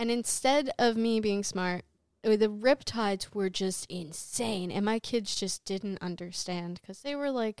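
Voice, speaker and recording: A woman of medium pitch speaks in a plain, everyday voice with ordinary pitch variation, the sound dry and close with no echo. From New Jersey, Jersey City. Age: 20s. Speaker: dancer and lighting technician. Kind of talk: casual chat.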